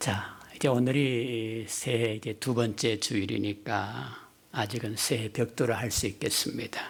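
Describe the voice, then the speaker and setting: A man's medium-pitched voice with vocal fry, very slow and fairly even in intonation, with hardly any pauses. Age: 60s. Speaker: retired pastor, guest preacher. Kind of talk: sermon. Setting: church.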